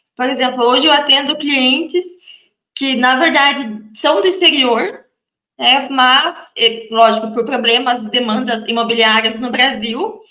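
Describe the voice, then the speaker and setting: A woman's raised, projected voice, high-pitched, bright and sharp, with ordinary pitch variation and a fairly slow pace. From Brazil, Santa Catarina. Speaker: real estate lawyer. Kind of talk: interview guest.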